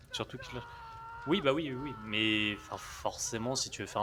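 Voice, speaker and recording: Noticeable background noise surrounds a man speaking at medium pitch. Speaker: gaming streamer. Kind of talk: live gameplay commentary. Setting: live stream. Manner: soft-spoken, talking quietly.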